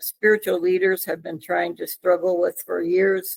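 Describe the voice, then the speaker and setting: The woman's voice comes through dry and close, with no echo. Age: 70s. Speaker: author. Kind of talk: interview. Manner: halting.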